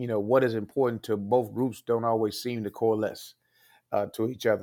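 An unremarkable speaking voice from a man with an American accent, medium pitch and fairly even intonation. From Texas, Fort Worth. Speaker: judge and state supreme court candidate. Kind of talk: interview.

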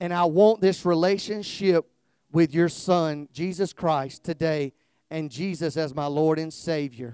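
A man's fairly high, dark, mellow voice, drawling at a fairly slow pace in a Southern US accent with ordinary pitch variation, on a very clean recording with a silent background and a dry, close sound with no echo. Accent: Southern drawl. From US South, South Georgia. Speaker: guest preacher, former police officer. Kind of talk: fervent revival-style altar call and closing prayer, call-and-response. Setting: church with congregation, streamed live. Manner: drawling, slow; loud, rousing crescendo urging the congregation to clap and shout.

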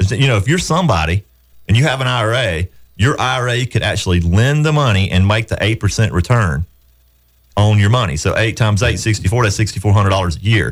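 With a Southern US accent, a man speaks in a fairly low, somewhat breathy voice, his intonation lively and his loudness very even. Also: moderate pace. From upstate South Carolina, Southern US. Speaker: radio show host, real estate investor. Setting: radio studio.

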